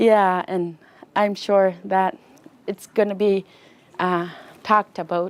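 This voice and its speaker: A woman in an Inuk Canadian accent, medium in pitch, very slow, with fairly even intonation. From Nunavut, Canada (Inuk). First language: Inuktitut. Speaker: student. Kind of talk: interview. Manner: halting.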